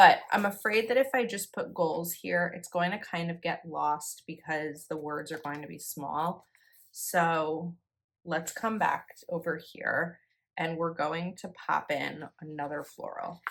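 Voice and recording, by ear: A woman's raspy, put-on character voice in a New Jersey accent, fairly low in pitch with ordinary variation, at a fairly slow pace, in a very clean recording with a silent background.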